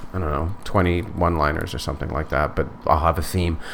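Against noticeable background noise, a man with a very deep, low pitch talks fairly quickly with ordinary pitch variation. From northern Manitoba, Canada. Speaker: stand-up comedian. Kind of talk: casual interview chat. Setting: studio.

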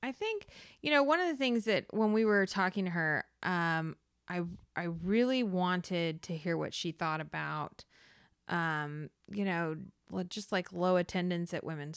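In a very clean recording with a silent background, a woman with an American accent uses a normal speaking voice at a fairly slow pace, with medium pitch and ordinary pitch variation. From US South. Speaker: history teacher. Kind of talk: casual chat.

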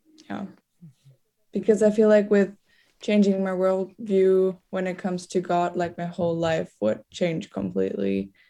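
In a German accent, a woman speaks at a fairly slow pace and medium pitch. Her tone is dark and mellow, her intonation fairly even. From Germany. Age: young. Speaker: exchange student. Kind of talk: casual chat.

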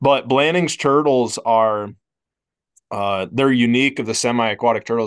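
A man with an American accent and a normal speaking voice, medium in pitch with ordinary variation, at a moderate pace on a very clean recording with a silent background. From Iowa. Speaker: wildlife biology professor. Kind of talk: casual chat.

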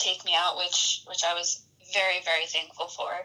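This woman speaks at a middling speed. There is clear noise in the background. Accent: American. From rural Utah. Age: 20s. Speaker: bow hunter. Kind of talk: casual interview. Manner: halting, many repeated words.

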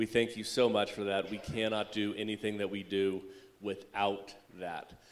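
Here is an ordinary speaking voice. It keeps a moderate pace. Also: man. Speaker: church service leader. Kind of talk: announcements and prayer. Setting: church.

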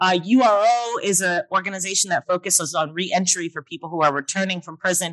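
A woman speaks in an American accent at a fairly quick pace. Her intonation is lively. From US Northeast, Brooklyn, New York City. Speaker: professor. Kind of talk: keynote lecture. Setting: conference stage with audience.

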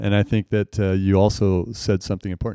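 A man with an American accent at a very fast pace, fairly low pitch, dark and mellow tone, dry close sound with no echo, very clean recording over a silent background. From US, Marysville area. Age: 50s. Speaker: retired teacher and coach. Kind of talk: casual chat.

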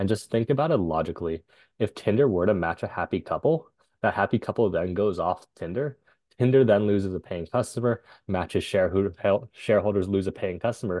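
A man speaks at a fairly quick pace and a fairly low pitch. He has an unremarkable speaking voice. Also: ordinary pitch variation. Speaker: tech entrepreneur. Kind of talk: interview.

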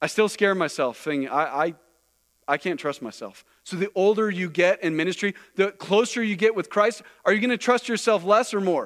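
The recording is very clean, with a silent background. The speech moves at a fairly quick pace with ordinary pitch variation. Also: man, high pitch for a man. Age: 40s. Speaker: missionary pastor. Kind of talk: sermon. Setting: church.

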